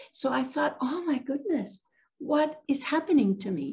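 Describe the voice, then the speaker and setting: A woman talks at a fairly slow pace. Little else is heard in the quiet background. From Venezuela. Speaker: meditation teacher. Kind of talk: guided meditation. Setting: video call. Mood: calm, gentle. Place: home room. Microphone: video call.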